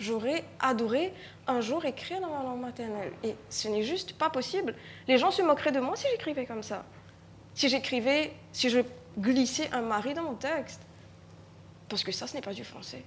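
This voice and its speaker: Her loudness swinging widely, a woman speaks at a high pitch with lively intonation and long, frequent pauses. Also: moderate pace. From Mauritius. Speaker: writer and stage artist. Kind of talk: panel discussion. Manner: halting, with frequent repetitions.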